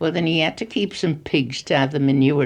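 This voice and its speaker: With vocal fry, a woman talks at a moderate pace. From Gloucestershire, England. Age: 80s+. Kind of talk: interview answer. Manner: gentle yet authoritative.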